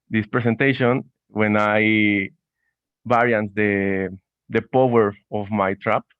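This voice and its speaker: Speaking fairly slowly in a monotone, flat intonation, a man with a Spanish accent has a fairly low pitch. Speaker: student presenter. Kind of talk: conference talk. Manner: halting.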